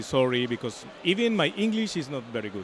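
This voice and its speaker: A man talks at a fairly quick pace with a Spanish accent, his pitch swinging very widely. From Colombia. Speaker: comic artist. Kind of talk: interview. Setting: comics convention. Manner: halting.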